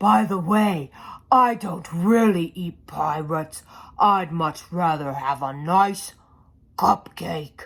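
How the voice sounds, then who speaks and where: In a put-on character voice at a middle pitch, the speaker goes at a very slow pace. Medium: read story.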